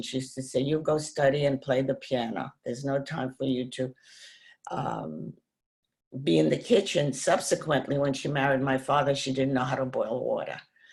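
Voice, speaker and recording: A woman talks at a fairly quick pace in a very deep, low voice with vocal fry. Her pitch varies in an ordinary way. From Poland. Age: 80s+. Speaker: Holocaust survivor. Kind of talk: interview.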